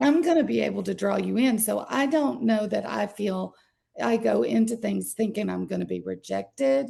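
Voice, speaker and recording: A woman speaks at a moderate pace with a Southern US accent. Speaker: workshop participant. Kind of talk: group discussion sharing.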